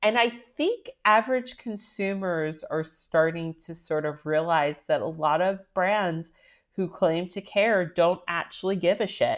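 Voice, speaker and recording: In a plain, everyday voice, a woman speaks at a fairly slow pace with a medium pitch and ordinary pitch variation against a quiet background. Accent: American. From US, Washington DC area. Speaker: writer and style consultant. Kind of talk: interview. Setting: remote recording.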